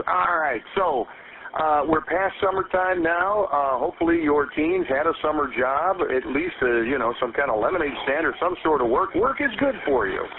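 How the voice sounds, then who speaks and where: Over noticeable background noise, a man with a fairly high pitch speaks in a confident tone with lively intonation. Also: moderate pace. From United States, Midwest. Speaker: radio show host and voice actor. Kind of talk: morning radio show host interviewing a guest. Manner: conversational, confident, polished broadcaster delivery.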